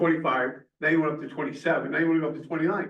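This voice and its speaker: A man with a fairly high voice and an American accent, with audible room echo. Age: 70s. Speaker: planning commission member and firefighter. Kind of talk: public meeting discussion. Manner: halting.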